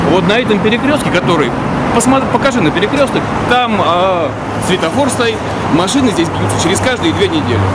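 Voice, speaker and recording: A man at a fairly quick pace with music in the background. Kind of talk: interview answer. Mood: indignant, arguing a point. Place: street. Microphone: phone near.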